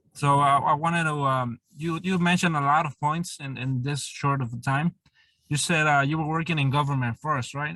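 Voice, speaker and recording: A man with a Spanish accent talks at a moderate pace in a dry, close sound with no echo. His voice is fairly high in pitch, with a bright, sharp tone and fairly even intonation. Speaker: interviewer. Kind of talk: interview.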